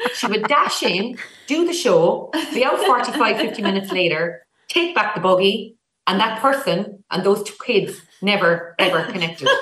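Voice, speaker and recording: A bright, sharp-toned woman in a Cork accent, fairly high pitch, very wide pitch swings, moderate pace. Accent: Irish, Cork. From Ireland, Cork. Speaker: sister of an actress. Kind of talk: casual chat.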